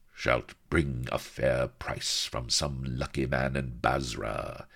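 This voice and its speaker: Speaking very slowly, a man uses a growling put-on character voice with a very deep, low pitch and monotone, flat intonation. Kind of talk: archaic. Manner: growling, leering.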